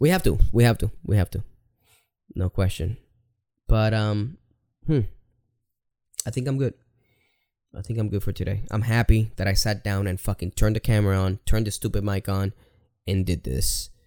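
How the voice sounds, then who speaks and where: This man talks at a moderate pace with a fairly low pitch, a dark, mellow tone, ordinary pitch variation and long, frequent pauses. The very clean recording has a silent background and a dry, close sound with no echo. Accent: Spanish. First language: Spanish. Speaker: video creator. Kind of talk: personal monologue vlog. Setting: home recording to camera. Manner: casual, halting with fillers.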